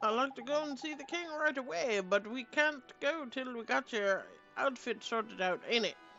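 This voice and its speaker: A woman does a put-on character voice at a high pitch and a moderate pace. Clear music plays in the background. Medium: actual play. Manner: cheeky, slangy, says man and flippin'.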